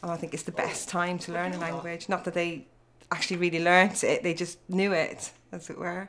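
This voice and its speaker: Over noticeable background noise, a woman with an Irish accent talks fairly quickly in a fairly low, monotone, flat voice. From Ireland. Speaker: parent. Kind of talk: interview.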